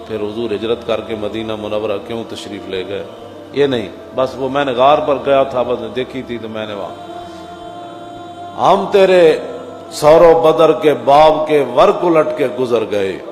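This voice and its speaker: Music in the background behind a man's medium-pitched voice, with lively intonation and big swings in loudness. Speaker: Islamic preacher. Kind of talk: religious sermon.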